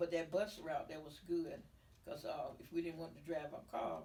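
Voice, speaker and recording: Moderate-paced female speech in an American accent, carrying audible room echo. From US South. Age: 80s+. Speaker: community elder. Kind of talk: interview. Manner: halting.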